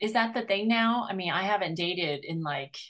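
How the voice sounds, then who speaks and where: A woman with a normal speaking voice, fairly slow pace and ordinary pitch variation, against a quiet background. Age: 50s. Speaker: podcast host and matchmaker. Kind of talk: interview.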